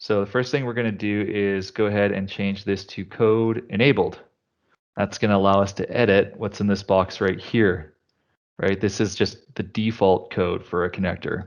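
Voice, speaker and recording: A man speaks at a moderate pace in a fairly low voice. His intonation is fairly even, and the background is quiet. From Canada. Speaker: tech consultant presenting a demo; presenter. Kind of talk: live tech demo presentation. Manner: casual, filler-heavy. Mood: casual, joking. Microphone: headset.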